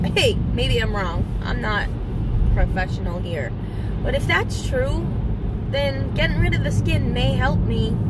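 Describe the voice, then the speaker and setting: A woman speaks at a fairly slow pace with long, frequent pauses, in a dry sound with no echo amid loud background noise. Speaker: vlogger. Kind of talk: casual vlog chat. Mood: reflective, candid. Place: car. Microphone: phone near.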